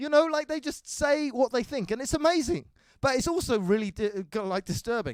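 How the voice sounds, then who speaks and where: In an English accent, a man with an extremely high pitch speaks at a fairly quick pace with lively intonation, the sound dry and close with no echo. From England. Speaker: stand-up comedian. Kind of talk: stand-up.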